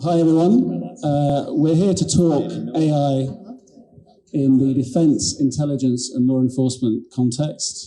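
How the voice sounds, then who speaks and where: The voice comes at a fairly slow pace with very even loudness and ordinary pitch variation. Audible room echo surrounds it. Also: man, fairly high pitch for a man. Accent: British. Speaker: panel moderator, lawyer. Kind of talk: conference panel moderation.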